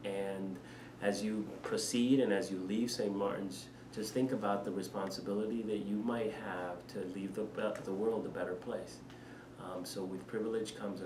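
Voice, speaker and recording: Amid noticeable background noise and audible room echo, a man with a Spanish accent talks at a moderate pace. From Panama. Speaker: head of school. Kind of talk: interview. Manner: hesitant, many fillers.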